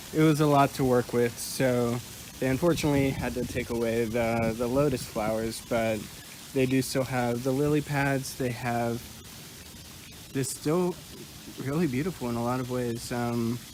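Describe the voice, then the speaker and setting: Amid noticeable background noise, a man of medium pitch talks at a moderate pace with fairly even intonation and long, frequent pauses. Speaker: counseling student. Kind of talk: casual vlog tour narration. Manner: hesitant; quiet.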